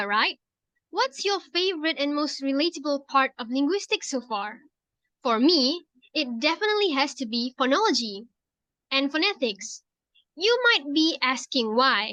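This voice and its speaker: A woman with a Malaysian accent speaks in a raised, projected voice at a high pitch with very wide pitch swings and a bright, sharp tone. Her pace is moderate with long, frequent pauses, and the sound is dry and close with no echo. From Penang, Malaysia. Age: 20s. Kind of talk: scripted class assignment conversation.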